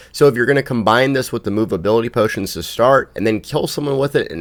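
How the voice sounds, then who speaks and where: On a very clean recording with a silent background, a man talks at a very fast pace with lively intonation and vocal fry. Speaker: gaming YouTuber. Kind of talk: game guide commentary.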